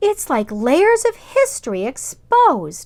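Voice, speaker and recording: A woman's put-on, squeaky character voice at extremely high pitch, fairly slow, with very wide pitch swings. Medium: read story.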